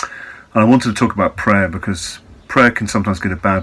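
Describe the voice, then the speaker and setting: A man with an English accent speaks in a calm tone with fairly even intonation. Noticeable background noise runs underneath. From England. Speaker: Buddhist teacher. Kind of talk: reflective talk.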